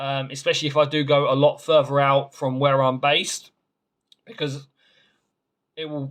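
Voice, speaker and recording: A man with a fairly high pitch, monotone, flat intonation, a moderate pace and long, frequent pauses. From London. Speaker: gaming YouTuber and vlogger. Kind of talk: casual channel update to viewers.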